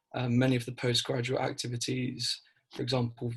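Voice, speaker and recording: Somewhat breathy, a man speaks at a medium pitch and a moderate pace in monotone, flat intonation. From East Anglia, South Suffolk. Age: 20s. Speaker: student election candidate. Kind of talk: interview. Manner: hesitant, many fillers and repeats.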